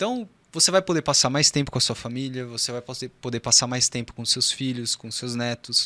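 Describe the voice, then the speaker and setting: With a bright, sharp tone, a man speaks in a dry, close sound with no echo. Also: very clean recording, silent background. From Brazil, São José dos Campos (São Paulo state). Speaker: urologist. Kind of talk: podcast interview.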